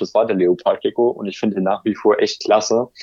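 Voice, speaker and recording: A man speaks at a medium pitch. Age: 20s. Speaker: YouTuber on aquarium and terrarium hobby. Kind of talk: casual interview. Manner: hesitant with fillers.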